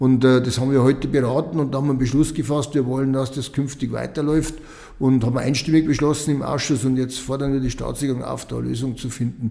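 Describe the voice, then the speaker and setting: With a Lower Bavarian accent, a man talks at a very fast pace. His intonation stays monotone and flat. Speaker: state politician. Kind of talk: interview.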